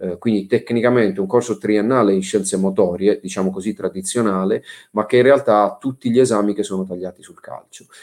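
The recording is very clean, with a silent background. A man speaks at a fairly quick pace in a fairly low voice with fairly even intonation. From southern Italy, Bari (Apulia). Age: 40s. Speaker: sports management executive. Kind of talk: interview. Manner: hesitant, many fillers.

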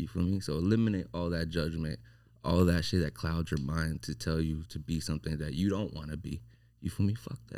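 A man with a very deep, low pitch, a dark, mellow tone and vocal fry, at a fairly quick pace with ordinary pitch variation. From Las Vegas, raised from Mexico. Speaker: barber. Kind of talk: casual chat.

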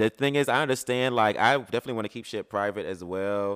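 With an American accent, a man talks at a very fast pace and with ordinary pitch variation on a very clean recording with a silent background and a dry, close sound with no echo. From US South, Birmingham, Alabama. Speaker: podcast co-host. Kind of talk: casual chat. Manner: animated.

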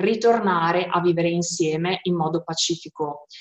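At a fairly slow pace, a woman talks in an ordinary speaking voice of medium pitch with fairly even intonation. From Modena, northern Italy. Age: 30s. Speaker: peace volunteer. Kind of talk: testimony.

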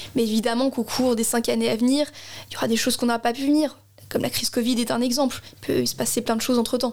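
A woman speaks very fast in a high, flat monotone at a very even loudness, with noticeable background noise behind her. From Alsace, Strasbourg. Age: 20s. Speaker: election candidate. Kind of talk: political interview.

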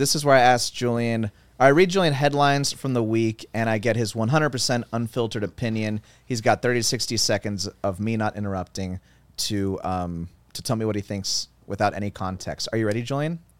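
At a fairly quick pace, a man speaks with a normal speaking voice at a medium pitch. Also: ordinary pitch variation. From Cuban-American family. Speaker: podcast co-host. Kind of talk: reading news headlines; casual chat.

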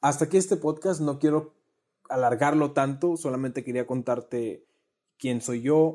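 At a moderate pace, a man speaks in a dark, mellow tone with a fairly high pitch and ordinary pitch variation. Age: 20s. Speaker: podcast host. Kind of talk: personal monologue. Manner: conversational.

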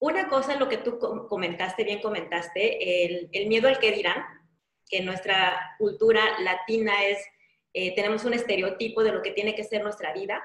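A fairly high-pitched woman's voice at a moderate pace, with ordinary pitch variation and audible room echo. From Mexico, Yucatán (Mérida). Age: 40s. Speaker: life coach. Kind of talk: interview.

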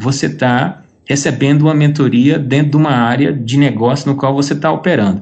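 Audible room echo surrounds a man speaking at a fairly quick pace. His pitch is fairly high and his loudness very even. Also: ordinary pitch variation. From Brazil. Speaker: entrepreneur. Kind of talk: interview.

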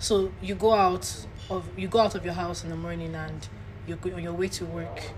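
A woman talks. Noticeable background noise can be heard behind her. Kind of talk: casual chat.

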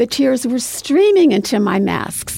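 Speaking at a moderate pace with an American accent, a woman has a somewhat breathy voice with a dark, mellow tone. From US Northeast. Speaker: memoir author. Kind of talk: interview. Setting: studio.

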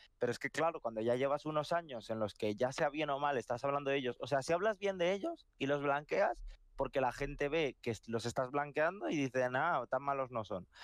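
A man talks fairly quickly in a fairly high pitch with ordinary pitch variation. The sound is dry and close with no echo, over a quiet background. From Madrid, Spain. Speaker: podcast co-host. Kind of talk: casual chat. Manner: animated.

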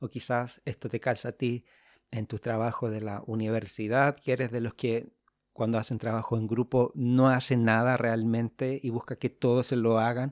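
A man with a Chilean accent speaks at a moderate pace in a medium pitch, his intonation flat and monotone. The recording is very clean with a silent background, and the sound is dry and close with no echo. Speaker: podcast host.

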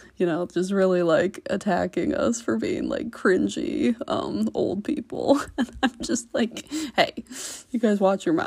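A woman with an American accent talks at a fairly slow pace in a medium pitch. Her voice has vocal fry. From US Midwest (Iowa). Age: 20s. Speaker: podcast host. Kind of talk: casual solo podcast monologue. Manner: halting, many fillers.

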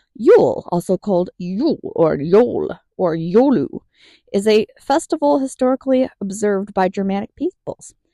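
A woman with a dark, mellow tone and a fairly high pitch speaks at a moderate pace, her pitch swinging very widely in a dry, close sound with no echo. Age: 30s. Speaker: podcast host. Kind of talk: solo podcast monologue; reading aloud.

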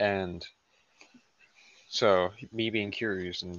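This man speaks quietly with a Southern US accent. His pitch sits fairly low. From US South. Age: 19. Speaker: podcast guest. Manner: quiet, low energy.

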